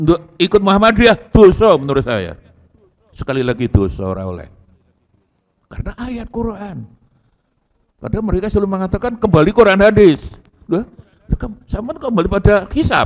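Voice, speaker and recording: Long, frequent pauses break up a man's high-pitched speech at a moderate pace. His intonation is lively and his loudness swings widely. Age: 60s. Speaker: Islamic cleric. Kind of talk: religious lecture. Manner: casual, code-switching Javanese.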